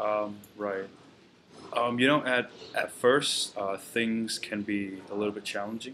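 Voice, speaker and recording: Amid noticeable background noise, a man with a Vietnamese accent speaks fairly slowly at a fairly low pitch with fairly even intonation. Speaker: university student. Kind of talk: farewell address to classmates. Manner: halting, many fillers.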